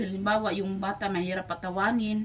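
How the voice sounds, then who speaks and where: Over noticeable background noise, a woman speaks at a medium pitch and a moderate pace with monotone, flat intonation. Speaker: vlogger. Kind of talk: casual vlog chat.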